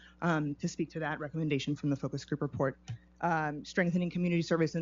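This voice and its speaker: A woman with a very deep, low pitch talks at a very fast pace in a monotone, flat intonation. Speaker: city climate office staff presenter. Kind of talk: public meeting presentation. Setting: city commission meeting. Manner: halting, many fillers.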